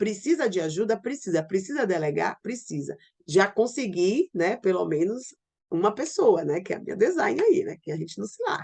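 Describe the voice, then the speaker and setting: At a moderate pace, a woman speaks at a medium pitch, her voice swinging very widely up and down. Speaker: online business coach. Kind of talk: online class. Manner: informal.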